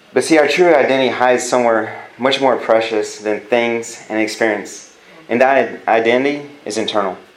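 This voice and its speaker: A man with an American accent speaks at medium pitch and a moderate pace. Noticeable background noise and audible room echo surround him. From California. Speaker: youth pastor. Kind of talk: sermon. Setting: church. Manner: animated.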